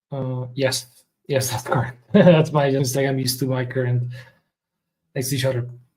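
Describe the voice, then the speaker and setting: A man at a medium pitch sounds somewhat breathy, with monotone, flat intonation. His moderate pace is broken by long, frequent pauses. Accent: non-native. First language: not English. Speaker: software developer streamer. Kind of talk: live coding stream. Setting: live stream. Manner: halting, many fillers.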